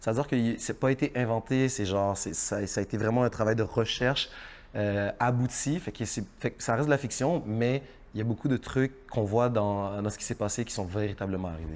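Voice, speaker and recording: This man talks at a fairly quick pace. His pitch sits in the medium range, with ordinary variation. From Haiti. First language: Haitian Creole (speaking French). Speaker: actor. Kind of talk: interview. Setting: studio. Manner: halting, repeats words.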